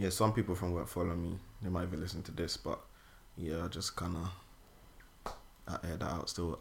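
In a London accent, a man speaks at a very deep, low pitch with a bright, sharp tone. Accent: British, London urban. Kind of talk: casual chat.

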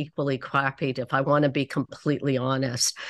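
A woman with a Canadian accent speaks at a fairly slow pace over a quiet background. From Canada (Toronto). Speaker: oncologist and clinical trials researcher. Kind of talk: debate.

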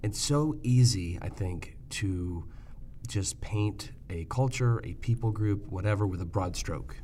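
This man's pitch is very deep and low. His voice is somewhat breathy, with lively intonation. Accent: American. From Michigan, US Midwest. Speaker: podcast host, ophthalmologist. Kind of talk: interview conversation.

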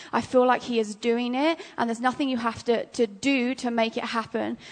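A woman with an English accent, high in pitch. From England. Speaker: ministry school student. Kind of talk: prophetic word in church. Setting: church.

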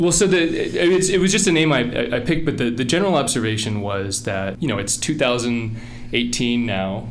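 In an American accent, a man speaks at a moderate pace and medium pitch with very wide pitch swings, over noticeable background noise. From Virginia, Richmond and Appalachia. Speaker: tech executive, machine learning lead. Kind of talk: interview. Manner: halting, frequent repeated words.

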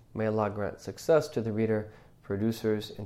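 Fairly low-pitched male voice with a dark, mellow tone, a fairly quick pace, and audible room echo. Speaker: Islamic religious teacher. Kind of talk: religious class lecture. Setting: mosque class, live streamed. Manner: hesitant with many fillers.

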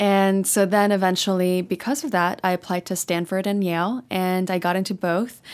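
Here is a plain, everyday voice, a woman with an American accent at medium pitch. She talks at a moderate pace in a very clean recording with a silent background. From Texas. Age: 20s. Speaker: tech startup founder and CEO. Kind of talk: interview.

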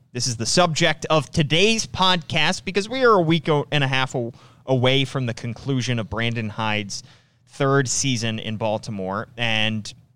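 A man's ordinary speaking voice at a medium pitch, with ordinary pitch variation and a moderate pace on a very clean recording with a silent background. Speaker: sports podcast host. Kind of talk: casual sports talk podcast. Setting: studio. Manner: conversational, chatty.

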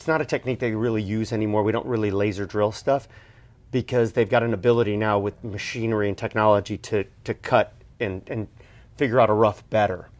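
A normal speaking voice at a fairly quick pace. The background is quiet. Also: man, fairly low pitch for a man. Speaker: co-host, watch collector. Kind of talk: casual interview.

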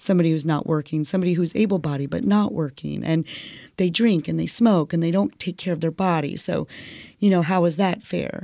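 A plain, everyday voice from a woman, fairly low-pitched, with ordinary pitch variation and a fairly quick pace, on a very clean recording with a silent background. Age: 40s. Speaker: kindergarten teacher and cancer survivor. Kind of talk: casual chat. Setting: studio.

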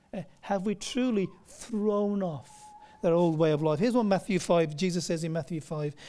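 A man's high-pitched voice with a dark, mellow tone at a moderate pace. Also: ordinary pitch variation. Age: 40s. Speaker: pastor. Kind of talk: sermon. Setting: church.

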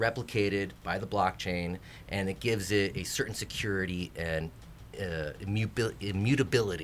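Slow-paced and fairly low in pitch, a man with a plain, everyday voice shows ordinary pitch variation in a very clean recording with a silent background. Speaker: crypto and smart contract enthusiast. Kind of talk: casual chat. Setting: studio.

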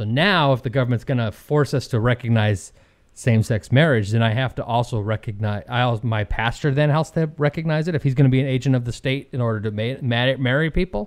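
A man talks at a fairly quick pace with an ordinary speaking voice. His pitch is medium and its variation ordinary. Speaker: podcast co-host. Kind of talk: casual chat. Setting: studio.

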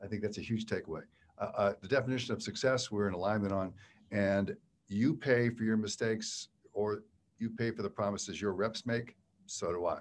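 An ordinary speaking voice from a man with an American accent, fairly low in pitch and fairly even in intonation, at a fairly quick pace on a very clean recording with a silent background. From Western Pennsylvania. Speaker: podcast host, author and keynote speaker. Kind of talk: interview. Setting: studio.

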